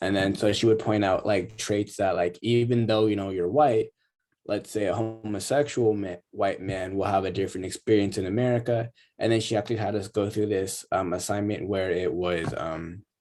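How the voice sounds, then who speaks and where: Over music in the background, a man talks in a fairly low pitch with fairly even intonation. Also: moderate pace. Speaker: college student. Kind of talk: class discussion. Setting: video call.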